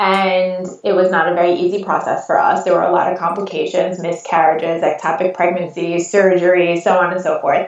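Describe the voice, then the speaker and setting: A woman talks fairly quickly. Her pitch is medium. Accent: American. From US Northeast, Long Island, New York. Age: 40s. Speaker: photographer. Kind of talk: podcast interview.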